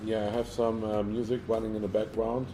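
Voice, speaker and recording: A man speaks in a somewhat breathy voice with a German accent and a dark, mellow tone. His pitch is fairly low, and his pace is moderate. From Germany. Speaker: live streamer. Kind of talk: casual live-stream chat. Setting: villa in Thailand. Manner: halting, many fillers and repeats.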